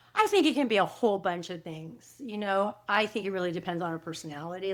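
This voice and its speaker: A woman talks at a fairly quick pace in a plain, everyday voice with lively intonation and medium pitch. The recording is very clean, with a silent background. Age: 60s. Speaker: author and coach. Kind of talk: interview. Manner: conversational, with fillers and restarts.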